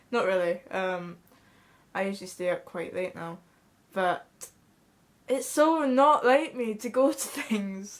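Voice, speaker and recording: In a Scottish accent, the speaker goes at a fairly slow pace with lively intonation and long, frequent pauses. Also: woman, medium pitch for a woman. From Scotland. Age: young. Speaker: vlogger. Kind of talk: casual chat. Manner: halting.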